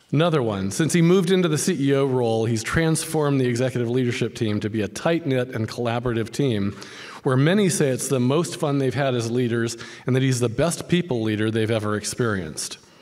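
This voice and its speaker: An unremarkable speaking voice belongs to a man talking at a fairly quick pace with lively intonation. The background is quiet. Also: medium pitch for a man. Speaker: professor. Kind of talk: interview. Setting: stage with audience. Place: hall. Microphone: podium.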